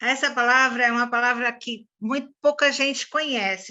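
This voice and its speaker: Against a quiet background, a woman speaks fairly slowly in a bright, sharp tone, her fairly high pitch showing ordinary variation. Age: 60s. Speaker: swimming instructor and doula. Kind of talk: interview.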